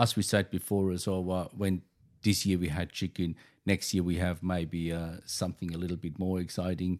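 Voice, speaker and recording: A man with a German accent speaks in a very deep, low pitch with monotone, flat intonation at a moderate pace, on a very clean recording with a silent background. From Germany. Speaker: chef. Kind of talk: interview. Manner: halting.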